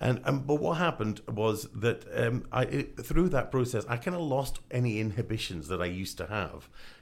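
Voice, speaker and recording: Speaking with a Scottish accent, a man uses lively intonation with vocal fry. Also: medium pitch for a man, moderate pace. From Scotland. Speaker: voiceover artist. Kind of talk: casual radio interview. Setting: studio. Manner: animated.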